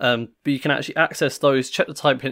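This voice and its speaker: A man at a medium pitch and a very fast pace. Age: 20s. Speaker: programming tutor. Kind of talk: tutorial. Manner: casual, with frequent fillers.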